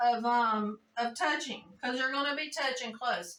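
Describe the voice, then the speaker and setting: A woman talks at a moderate pace with a high pitch. Her pitch varies in an ordinary way. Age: 60s. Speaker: jiu-jitsu practitioner. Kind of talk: interview answer.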